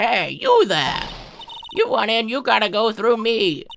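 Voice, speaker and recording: A woman puts on a character voice, fairly high in pitch and delivered at a fairly slow pace. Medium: dub. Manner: brash, gruff.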